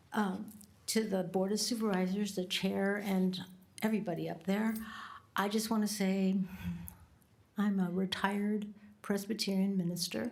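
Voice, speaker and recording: Amid audible room echo, a woman speaks at medium pitch and a moderate pace in a monotone, flat intonation, with long, frequent pauses. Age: 70s. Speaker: public commenter, retired minister. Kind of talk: public comment at government meeting. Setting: county board meeting chamber.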